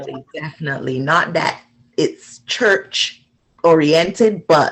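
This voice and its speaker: Here a woman speaks in a plain, everyday voice at a fairly low pitch. Her pace is moderate and her pitch variation is ordinary. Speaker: interview host. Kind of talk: interview questions, casual chat.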